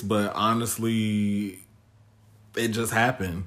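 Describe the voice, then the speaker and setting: A man talks at a medium pitch. His intonation is monotone and flat. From Chicago south suburbs. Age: 30s. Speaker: podcast guest. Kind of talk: casual chat.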